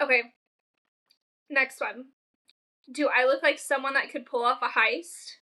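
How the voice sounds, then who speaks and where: The voice is raised and projected, moving at a fairly slow pace with long, frequent pauses. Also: woman, high pitch for a woman. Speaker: podcast co-host. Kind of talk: casual chat. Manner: loud; animated.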